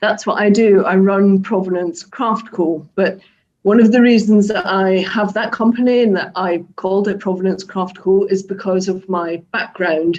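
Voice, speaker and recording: In a strong Scottish accent, a woman speaks at a moderate pace and medium pitch, her dark, mellow tone carried by fairly even intonation. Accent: Scottish, thick. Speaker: craft business owner. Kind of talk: online talk to a live audience.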